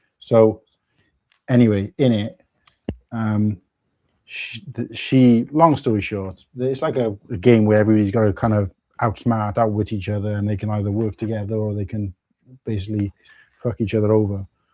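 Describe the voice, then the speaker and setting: A man with a South Wales accent talks at a moderate pace in a fairly low pitch. His intonation is fairly even, broken by long, frequent pauses. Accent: South Wales (Cardiff area). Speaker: Lego live streamer. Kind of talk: casual chat. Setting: livestream.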